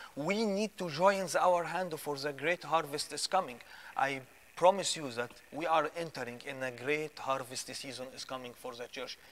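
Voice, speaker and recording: A man speaks at a moderate pace with a fairly high pitch and ordinary pitch variation. His loudness swings widely. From Egypt. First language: Arabic. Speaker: guest or co-host. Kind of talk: preaching; testimony. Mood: fervent, hopeful preaching tone. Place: studio.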